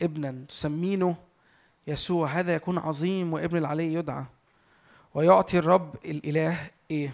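This man speaks in a fairly high voice with an Egyptian accent. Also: ordinary pitch variation, fairly slow pace, very clean recording, silent background. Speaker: preacher. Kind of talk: sermon. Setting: church with audience.

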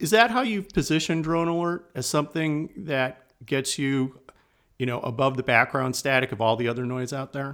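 In a very clean recording with a silent background, a man with a normal speaking voice talks at a fairly high pitch and a moderate pace, with ordinary pitch variation. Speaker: podcast host. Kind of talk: interview conversation.

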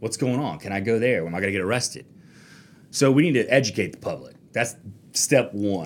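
In an American accent, a speaker with a plain, everyday voice talks at a moderate pace with lively intonation. The recording is very clean, with a silent background. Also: man. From US South, Florida Panhandle (Fort Walton Beach). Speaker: attorney. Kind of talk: casual interview. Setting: studio.

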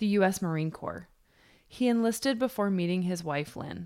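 A woman with an American accent talks at a moderate pace in a plain, everyday voice, medium in pitch with lively intonation. The recording is very clean, with a silent background. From New York. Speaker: podcast host. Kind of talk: scripted narration.

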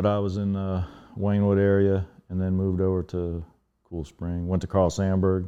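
Speaking with an American accent, a man has a very deep, low pitch. His intonation is monotone and flat, at a moderate pace. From US Mid-Atlantic (Northern Virginia). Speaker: DJ and artist. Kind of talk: casual chat.

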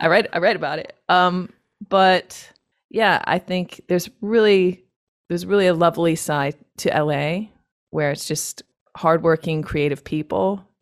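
With a Northeastern US accent, a woman speaks at a fairly low pitch and with fairly even intonation. The recording is very clean and the background silent. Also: fairly slow pace. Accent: American (Northeast). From upstate New York, US. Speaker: loop artist and singer. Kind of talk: interview.

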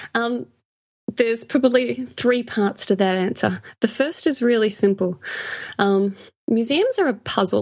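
A woman with an Australian accent talks at a fairly high pitch. Her loudness stays very even throughout. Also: ordinary pitch variation, fairly slow pace. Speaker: podcast co-host, museum blogger. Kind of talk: casual chat.

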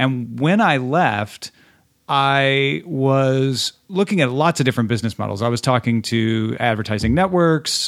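A man talks at a moderate pace and medium pitch in a plain, everyday voice. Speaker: tech podcaster. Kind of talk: casual chat.

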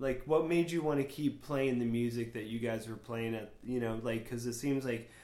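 A dark, mellow tone in an American accent, moderate pace and fairly even intonation, with audible room echo. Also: man, medium pitch for a man. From Florida. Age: 40s. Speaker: podcast host. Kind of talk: casual chat.

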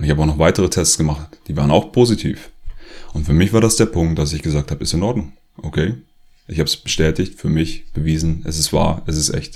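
A man with a very deep, low pitch and a somewhat breathy voice talks at a very fast pace. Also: ordinary pitch variation. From Germany, rural area. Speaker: author and former activist video maker. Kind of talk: personal monologue to camera.

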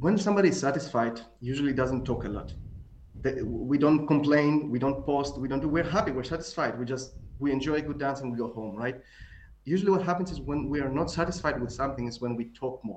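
A man with a Greek accent speaks at a very fast pace in a fairly high pitch, with noticeable background noise. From Greece. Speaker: tango author. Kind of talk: casual chat.

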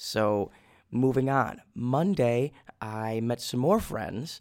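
On a very clean recording with a silent background, a man with a Minnesota accent talks very slowly at a medium pitch. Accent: Minnesotan American. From US Midwest. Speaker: podcast host and study-abroad student. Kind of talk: casual solo monologue. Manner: enthusiastic.

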